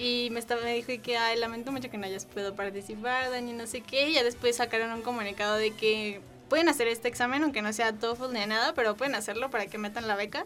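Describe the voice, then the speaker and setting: A woman with a fairly high pitch talks at a very fast pace with hardly any pauses. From Mexico. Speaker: university student. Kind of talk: casual chat. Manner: animated.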